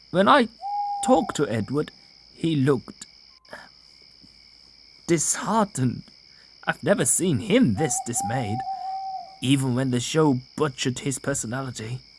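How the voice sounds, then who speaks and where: In a put-on character voice at a low-to-middle pitch, the speaker moves at a moderate pace with long, frequent pauses. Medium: audio drama.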